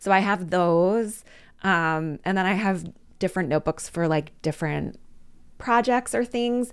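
With an American accent and an ordinary speaking voice, a woman at medium pitch talks at a fairly slow pace, her intonation lively and her loudness very even, in a very clean recording with a silent background. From Philadelphia, US. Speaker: storytelling coach. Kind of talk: casual chat.

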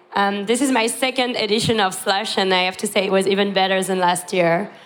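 A woman speaks with audible room echo. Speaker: conference speaker. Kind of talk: conference talk. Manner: hesitant with fillers.

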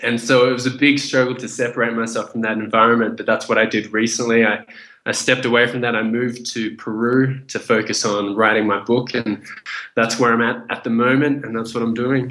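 Delivered in an Australian accent at a fairly quick pace, the voice has a bright, sharp tone. The intonation stays monotone and flat over a quiet background. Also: man, medium pitch for a man. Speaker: chef, kickboxer and speaker writing a first book. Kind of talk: interview.

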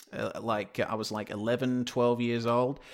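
In an Australian accent, a man speaks at a medium pitch with fairly even intonation. The recording is very clean, with a silent background. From Western Australia (Perth). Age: 20s. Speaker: sim racing commentator. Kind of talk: interview.

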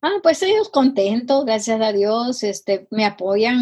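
Somewhat breathy, a woman talks at a fairly slow pace with a fairly high pitch. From Guatemala. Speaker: missionary and healing minister. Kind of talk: interview testimony. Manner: halting, many fillers.

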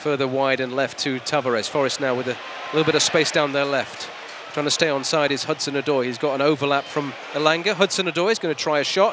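A man talks at a very fast pace in a fairly high pitch with ordinary pitch variation. Noticeable background noise is present. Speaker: hospital radio football commentator. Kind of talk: live play-by-play football commentary, reacting to fouls and cards as they happen. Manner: excitable and quickening on big moments, emphatic on cards and saves; conversational with frequent fillers and repeated words.

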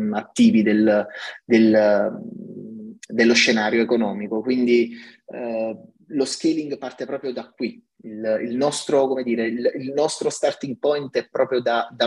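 The speaker is male. His voice falls at a medium pitch. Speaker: tech company CTO. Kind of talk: podcast interview. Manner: halting, many fillers and repetitions.

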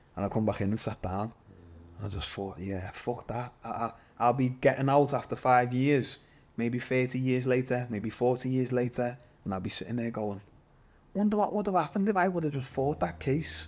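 His delivery rises and falls in a lively way. The man keeps to a moderate speed. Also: medium pitch for a man. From Liverpool, England. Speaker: MMA fighter. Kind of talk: casual chat. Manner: animated.

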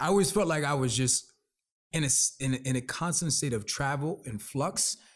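A man speaks at a moderate pace in a fairly high, somewhat breathy voice with ordinary pitch variation, on a very clean recording with a silent background. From New Jersey, born in the Bronx. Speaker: brand consultant. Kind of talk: casual interview. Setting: in the Bronx, traffic audible. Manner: halting, many repetitions.

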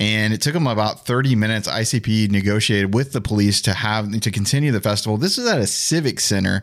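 A man with a plain, everyday voice speaks at medium pitch and a fairly quick pace. His pitch varies in an ordinary way, and the recording is very clean with a silent background. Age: 40s. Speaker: podcast executive producer. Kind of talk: casual conversation.

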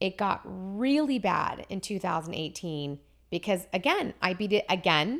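A woman with an ordinary speaking voice, medium pitch, a fairly slow pace and lively intonation, in a very clean recording with a silent background. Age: 40s. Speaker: cancer survivor. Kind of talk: casual chat.

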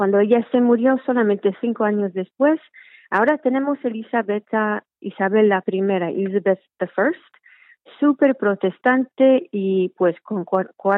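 This woman speaks at a fairly slow pace and medium pitch. Her pitch variation is ordinary. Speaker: trainee priest in church. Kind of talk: casual interview. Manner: halting.

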